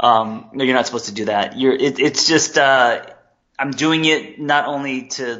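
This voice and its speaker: A man with a West Coast US accent and ordinary pitch variation. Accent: General American, West Coast. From Los Angeles. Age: 40s. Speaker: therapist and life coach. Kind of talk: interview.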